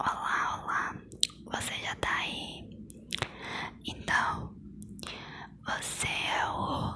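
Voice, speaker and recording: Whispering and soft-spoken, a woman speaks at a very slow pace over light background noise. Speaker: ASMR role-play creator. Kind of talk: soft-spoken ASMR role-play. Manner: soft close-mic ASMR whisper. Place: home room. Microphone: lapel.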